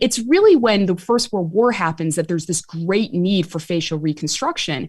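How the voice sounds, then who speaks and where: A woman with a strong Chicago accent speaks at a moderate pace with lively intonation on a very clean recording with a silent background. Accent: Chicago accent, still strong. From US Midwest, Chicago. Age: 40s. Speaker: author and medical historian. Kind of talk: interview.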